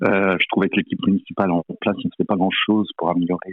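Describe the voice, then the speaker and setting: Very deep, low-pitched male voice with fairly even intonation. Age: 60s. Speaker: finance director, campaign team member. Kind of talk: interview. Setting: phone call. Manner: hesitant, many fillers.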